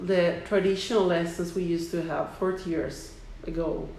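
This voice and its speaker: Against noticeable background noise, a woman with fairly low pitch talks at a fairly slow pace. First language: Italian. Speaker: English teacher. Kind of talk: interview conversation.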